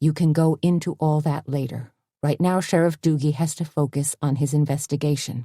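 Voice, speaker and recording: In a put-on character voice with a low-to-middle pitch, the speaker keeps a moderate pace. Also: very clean recording, silent background. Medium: read story. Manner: calm, cool and professional.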